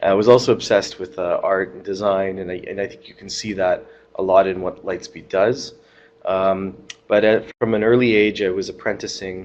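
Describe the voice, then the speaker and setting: A man's fairly low, a plain, everyday voice, fairly slow and fairly even in intonation. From Vancouver, western Canada. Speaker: tech company CEO. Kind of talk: panel discussion.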